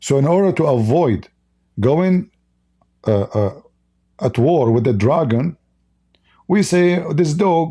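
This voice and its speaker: Fairly high-pitched male voice in an Arabic accent, dark and mellow in tone, with lively intonation and a fairly slow pace. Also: very clean recording, silent background. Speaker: religious commentator. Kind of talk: live stream commentary.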